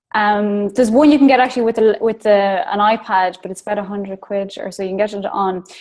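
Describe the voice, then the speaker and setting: A woman with an Irish accent speaks at a fairly high pitch with fairly even intonation. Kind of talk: casual chat. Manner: fast.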